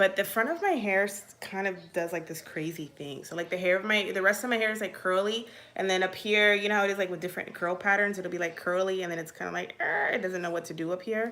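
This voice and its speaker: Very fast and with hardly any pauses, a woman speaks at a medium pitch with fairly even intonation. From Virginia, US (military childhood, born Puerto Rico). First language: Spanish. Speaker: mom vlogger. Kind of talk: casual live Q&A. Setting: livestream. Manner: chatty, filler-heavy.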